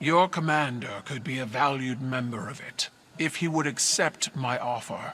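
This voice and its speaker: A man's put-on character voice at medium pitch and a moderate pace. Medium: video game. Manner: regal, measured, commanding.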